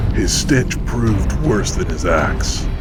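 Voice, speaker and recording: Through loud background noise, a man performs a put-on character voice at a fairly slow pace. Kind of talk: grave dark-fantasy voice-over. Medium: machinima. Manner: solemn, clipped, steely.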